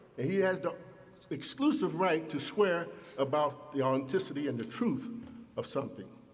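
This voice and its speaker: A man at a moderate pace, with audible room echo. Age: 70s. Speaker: imam. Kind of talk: sermon. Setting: mosque.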